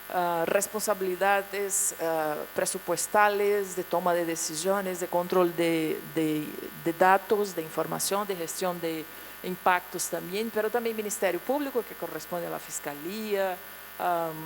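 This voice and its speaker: At a fairly slow pace, a woman with a Portuguese accent and fairly low pitch speaks with fairly even intonation over noticeable background noise. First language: Portuguese (speaking Spanish). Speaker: international agency official. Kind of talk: conference presentation. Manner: halting.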